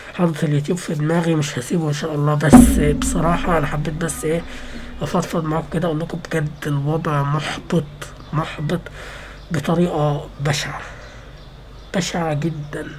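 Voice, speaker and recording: At a moderate pace, a woman with a very deep, low pitch and fairly even intonation is heard through audible room echo and noticeable background noise. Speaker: gaming youtuber. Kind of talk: casual vlog rant. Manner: halting, repetitive.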